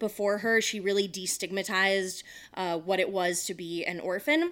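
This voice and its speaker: In an ordinary speaking voice, a woman talks at a moderate pace with medium pitch and fairly even intonation on a very clean recording with a silent background. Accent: American. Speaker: podcast co-host. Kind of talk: casual chat.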